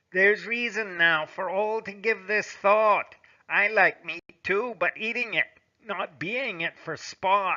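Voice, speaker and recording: Putting on a character voice, a man speaks with a high pitch at a fairly slow pace. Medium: read story.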